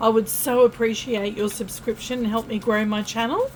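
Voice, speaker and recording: Noticeable background noise surrounds this woman's voice. She has a fairly high pitch and speaks with an Australian accent. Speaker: tarot reader. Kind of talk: tarot reading monologue. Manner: casual, chatty.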